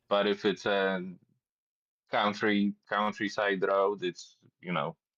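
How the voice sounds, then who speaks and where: A man in a Polish accent, fairly low-pitched, with fairly even intonation and a very slow pace, in a dry, close sound with no echo. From Poland, Warsaw. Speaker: cyclist. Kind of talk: casual chat. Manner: halting, repeats words.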